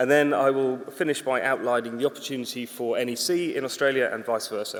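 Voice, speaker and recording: A man talks very fast at a medium pitch. There is noticeable background noise. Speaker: conference speaker, infrastructure consultant. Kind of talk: conference talk. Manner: casual, humorous.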